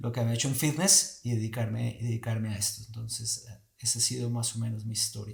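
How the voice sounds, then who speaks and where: A man talks at a medium pitch in a somewhat breathy voice. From Colombia. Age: 40s. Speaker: movement teacher. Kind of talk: casual chat.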